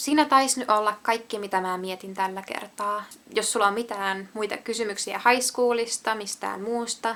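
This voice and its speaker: A woman talks at a fairly slow pace with a fairly high pitch. Her tone is bright and sharp, with fairly even intonation. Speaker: vlogger. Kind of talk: casual monologue vlog.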